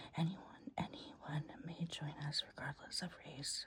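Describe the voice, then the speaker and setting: A woman is speaking. She whispers. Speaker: ASMR reading creator, person in addiction recovery. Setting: at home in bed, dog audible in background. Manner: soft-spoken, whispered.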